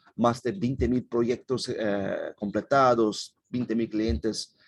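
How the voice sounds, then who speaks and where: A man with a Portuguese accent speaks at a medium pitch, his pitch varying in an ordinary way. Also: hardly any pauses. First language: Portuguese (speaking Spanish). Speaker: company representative presenting. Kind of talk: webinar presentation. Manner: halting.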